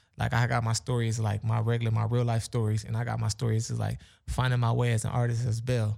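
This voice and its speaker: A man with a dark, mellow, somewhat breathy tone speaks at a medium pitch and a very fast pace, his intonation monotone and flat, on a very clean recording with a silent background. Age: 20s. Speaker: rapper. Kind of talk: casual chat.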